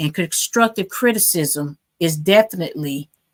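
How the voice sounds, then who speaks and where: A woman with a plain, everyday voice speaks at a moderate pace with ordinary pitch variation. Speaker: podcast host and DJ. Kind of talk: podcast recap.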